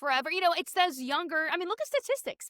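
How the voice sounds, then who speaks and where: A woman with an American accent speaks at a very fast pace in a raised, projected voice, her tone bright, sharp and animated. Her pitch swings very widely, and the sound is dry and close with no echo. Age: 20s. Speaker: podcast co-host. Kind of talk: casual chat.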